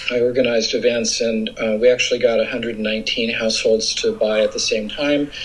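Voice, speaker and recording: A man speaks at a fairly quick pace with a Californian accent. Noticeable background noise runs under his voice. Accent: American (California). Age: 60s. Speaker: environmental advocate. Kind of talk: interview. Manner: hesitant with fillers.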